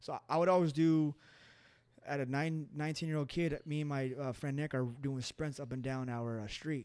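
A man with a Western US accent speaks at a fairly high pitch. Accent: general American, western US. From Colorado and California, US. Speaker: MMA fighter. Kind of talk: casual chat, interview. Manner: fast talker.

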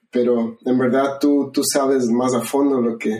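Here a man speaks at a fairly slow pace. His tone is dark and mellow, his pitch medium. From Ecuador. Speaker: podcast host. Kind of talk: casual interview about favorite songs.

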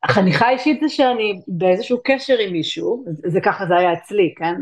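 A woman with a normal speaking voice, lively intonation, a moderate pace and hardly any pauses. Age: 40s. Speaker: tantra and intimacy coach. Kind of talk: interview.

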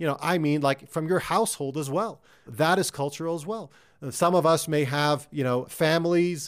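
Fairly high-pitched, an unremarkable speaking voice from a man, moderate in pace, with ordinary pitch variation. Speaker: career coach and podcast host. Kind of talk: solo coaching talk. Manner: conversational, filler words; direct, motivational.

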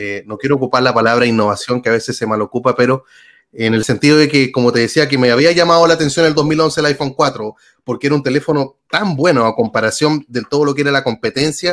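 The man's fairly high voice, with ordinary pitch variation, races along at a very fast pace. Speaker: YouTube tech communicator. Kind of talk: interview. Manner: animated.

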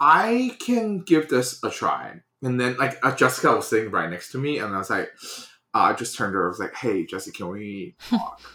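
A man speaks with a Mandarin accent. His pace is moderate. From China. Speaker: graphic designer and studio owner. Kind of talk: casual interview chat.

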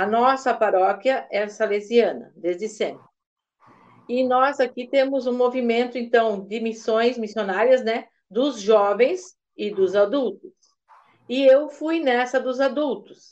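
Over a quiet background, a woman speaks very slowly in a high pitch with ordinary pitch variation. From Santa Catarina, Brazil (Massaranduba). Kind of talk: interview testimony. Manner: halting.

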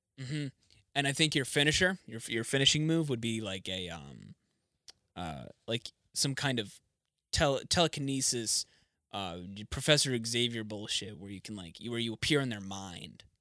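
With a bright, sharp tone and lively intonation, a man at a medium pitch speaks at a moderate pace with long, frequent pauses and big swings in loudness, captured in a very clean recording with a silent background and a dry, close sound with no echo. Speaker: podcast co-host. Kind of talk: casual chat. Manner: animated.

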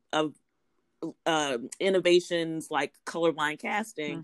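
Fairly even intonation with an American accent, in a dry, close sound with no echo and a very clean recording with a silent background. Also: woman. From US South, South Louisiana. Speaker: professor. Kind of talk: interview.

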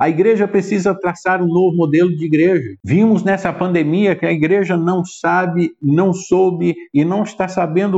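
The man's pitch is high, and his intonation stays fairly even. He talks at a fairly slow pace. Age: 40s. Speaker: pastor. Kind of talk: sermon.

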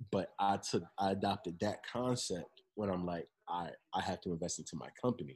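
A man with an ordinary speaking voice delivers fairly low-pitched, fairly fast speech with normal pitch movement. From New Jersey, Monmouth County (Long Branch). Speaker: clothing brand founder. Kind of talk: interview.

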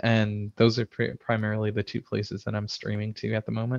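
A man's fairly low, monotone, flat voice with a Midwestern American accent, dry and close with no echo against a quiet background. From US Midwest, Chicago suburbs. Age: 30s. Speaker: IT system administrator and game streamer. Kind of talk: casual interview. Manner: hesitant, many fillers.

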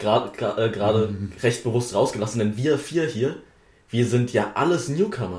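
At a moderate pace, a man speaks in a medium pitch with a somewhat breathy quality. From Wittenberg, Saxony-Anhalt, Germany. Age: young. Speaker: politician, parliamentary candidate. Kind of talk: casual chat.

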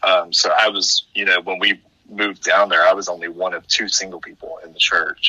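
Loudness swings widely in this delivery at a fairly quick pace. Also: man. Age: 30s. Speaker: podcaster and seminary student. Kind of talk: casual chat.

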